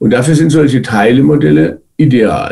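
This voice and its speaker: A man speaks at a medium pitch with a dark, mellow tone and some vocal fry. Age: 70s. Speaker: psychiatrist and psychotherapist. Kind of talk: interview.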